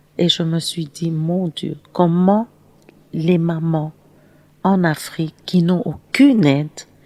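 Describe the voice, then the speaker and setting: Very slowly and with long, frequent pauses, a woman speaks in a fairly low, dark, mellow tone with ordinary pitch variation. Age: 60s. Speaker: charity founder and humanitarian. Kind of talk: interview. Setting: studio.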